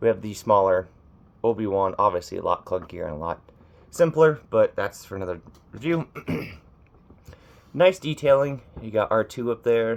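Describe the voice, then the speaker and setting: With very wide pitch swings and big swings in loudness, a man speaks with long, frequent pauses. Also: medium pitch for a man, moderate pace. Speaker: toy reviewer. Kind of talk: product review. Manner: casual.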